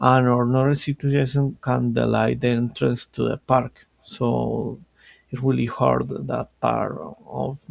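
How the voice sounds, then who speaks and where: A very slow delivery in a Colombian accent, with a dry, close sound and no echo. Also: man. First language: Spanish. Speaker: language student. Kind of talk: student class presentation. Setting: screen-shared recording. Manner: halting, with self-corrections.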